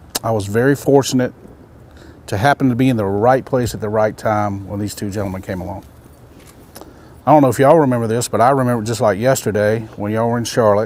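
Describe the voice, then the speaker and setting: Very fast speech with a Carolinas accent, fairly even intonation, long and frequent pauses, and noticeable background noise. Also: man. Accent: US Southern (Carolinas). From South Carolina, US South. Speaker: umpire. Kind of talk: informal talk to trainees around a campfire.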